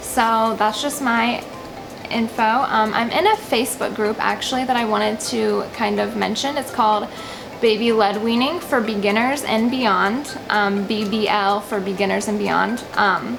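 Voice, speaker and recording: Soft-spoken and fairly high-pitched, a woman talks at a fairly slow pace with fairly even intonation and very even loudness, with music in the background and audible room echo. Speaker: parenting vlogger. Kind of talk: tutorial.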